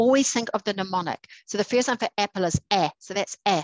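A woman with a New Zealand accent speaks at a fairly quick pace and medium pitch. The sound is dry with no echo. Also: quiet background. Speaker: literacy educator. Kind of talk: tutorial. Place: home room. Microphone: headset.

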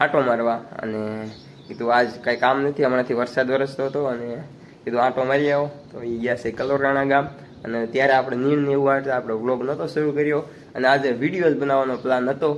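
Against noticeable background noise, a man speaks in a medium pitch with flat, monotone intonation. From Gujarat, Rajkot district (Saurashtra). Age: 20s. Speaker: village vlogger. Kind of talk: casual Q&A vlog.

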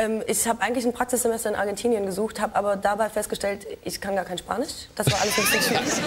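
A woman talks at a very fast pace with fairly high pitch and fairly even intonation over light background noise. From Baden-Württemberg, Ostalbkreis (Aalen); Baden-Württemberg. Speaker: TV and internet presenter; presenter. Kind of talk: talk show interview. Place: studio.

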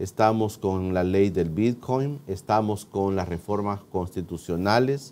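Speaking very slowly, a man has a fairly low pitch and a dark, mellow tone. His pitch varies in an ordinary way. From El Salvador. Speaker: TV interview host. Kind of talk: TV interview. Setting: studio. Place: studio. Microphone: lapel.

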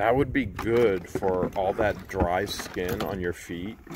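Faint background noise sits behind a man with a low pitch, a slightly mellow tone and ordinary pitch variation.

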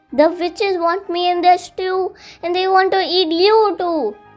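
Putting on a shrill character voice at an extremely high pitch, a woman speaks at a moderate pace over faint background music. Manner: screeching.

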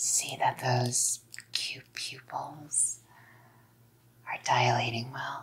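A woman puts on a character voice, extremely low in pitch with a husky, rough edge, big pitch swings and a very slow pace.

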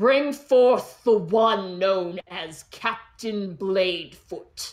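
In a put-on character voice that sounds female, the speaker uses a middle pitch at a very slow pace. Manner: commanding, imperious.

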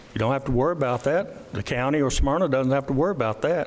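A man with a Tennessee accent and a fairly high pitch talks at a very fast pace. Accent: Tennessee Southern. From US South. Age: 70s. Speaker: county commissioner. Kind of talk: public meeting remarks. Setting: council meeting.

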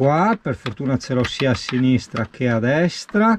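Over light background noise, a man talks at a very slow pace with very wide pitch swings. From Veneto, Italy. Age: young. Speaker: travel vlogger. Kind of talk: casual vlog tutorial. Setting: workshop. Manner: animated. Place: car. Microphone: phone near.

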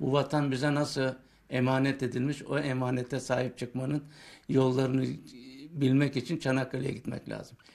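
The speaker is a man at a moderate pace. His intonation is monotone and flat. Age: 70s. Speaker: war veteran and antique collector. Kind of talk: interview answer. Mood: proud, earnest. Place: home room. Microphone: handheld.

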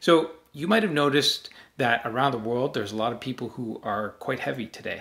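A man talking at a fairly quick pace with ordinary pitch variation. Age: 40s. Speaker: self-help channel host. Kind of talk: direct-to-camera talk. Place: home room.

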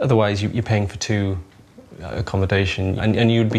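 A man with a normal speaking voice, fairly low-pitched, at a fairly quick pace with ordinary pitch variation. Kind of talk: interview answer. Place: kitchen.

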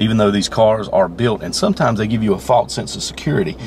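Over light background noise, a man talks at a very fast pace in a dry sound with no echo. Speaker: police driving instructor. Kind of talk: interview answer. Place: car. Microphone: phone near.

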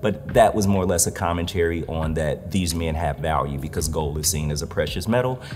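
A man with an American accent talks at a fairly quick pace with hardly any pauses, his pitch very deep and low with ordinary variation. Noticeable background noise runs behind him. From Detroit, Michigan. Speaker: visual artist. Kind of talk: interview monologue. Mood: earnest, reflective. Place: hall. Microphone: lapel.

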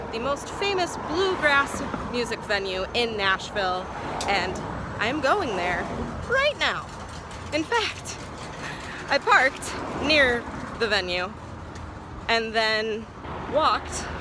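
A woman speaks at a very slow pace with long, frequent pauses, her voice dry with no echo over noticeable background noise. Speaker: travel vlogger. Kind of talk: casual vlog chat. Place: street. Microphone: phone near.

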